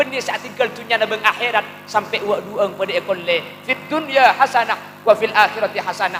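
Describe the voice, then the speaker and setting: Over music in the background, a man with a Madurese accent uses a raised, projected voice at a fairly quick pace with ordinary pitch variation. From Madura, Indonesia. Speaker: Islamic preacher. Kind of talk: religious sermon. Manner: humorous.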